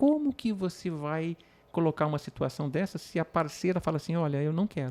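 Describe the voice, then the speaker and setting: An ordinary speaking voice from a man, fairly high in pitch with ordinary pitch variation, at a fairly quick pace, dry and close with no echo, on a very clean recording with a silent background. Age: 50s. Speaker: patient with penile prosthesis. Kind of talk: podcast conversation.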